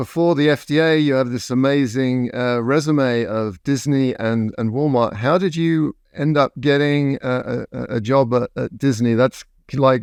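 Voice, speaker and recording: In an English accent, the speaker goes at a fairly slow pace with hardly any pauses and ordinary pitch variation. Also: man, medium pitch for a man. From England. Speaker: podcast host. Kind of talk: interview.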